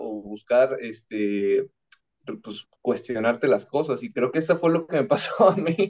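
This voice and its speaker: A man's voice, fairly high in pitch. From Mexico, Veracruz. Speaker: architect. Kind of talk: podcast interview.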